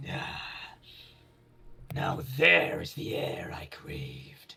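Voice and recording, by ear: A put-on character voice growls, raspy and rough. It moves at a very slow pace.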